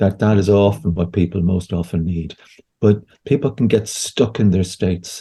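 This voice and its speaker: A man speaks at a moderate pace with a fairly low pitch, ordinary pitch variation, and a somewhat breathy, dark, mellow tone. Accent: Irish. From Ireland. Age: 60s. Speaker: homeopath and therapist. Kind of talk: interview conversation. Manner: halting, with frequent repetitions.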